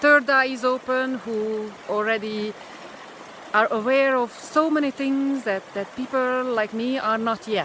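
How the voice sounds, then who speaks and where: A woman with a Hungarian accent speaks at a fairly slow pace and a high pitch. Noticeable background noise is present. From Hungary. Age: 50s. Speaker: spiritual vlogger. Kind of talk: personal vlog monologue. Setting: outdoors in a pine forest. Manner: halting, many fillers.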